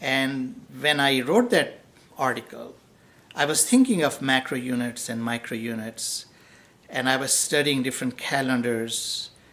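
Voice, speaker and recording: Noticeable background noise sits behind a man speaking at medium pitch. He keeps a moderate pace. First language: not English. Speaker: professor. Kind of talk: lecture. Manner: unscripted, with frequent fillers.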